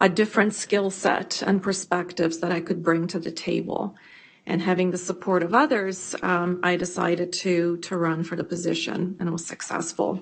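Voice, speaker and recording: A woman speaks at a moderate pace in a monotone, flat intonation. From immigrant refugee to Canada. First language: not English. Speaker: school board trustee. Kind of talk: committee meeting self-introduction. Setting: boardroom meeting.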